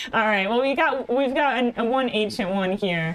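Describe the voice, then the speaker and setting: Very wide pitch swings mark this animated voice with a Midwestern American accent. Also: woman. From Ohio. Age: 30s. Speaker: streamer. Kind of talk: casual chat. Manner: soft-spoken.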